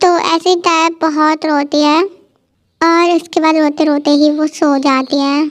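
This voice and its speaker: This woman's voice is extremely high in pitch. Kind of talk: casual Hinglish storytelling. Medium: read story. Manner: informal, explanatory.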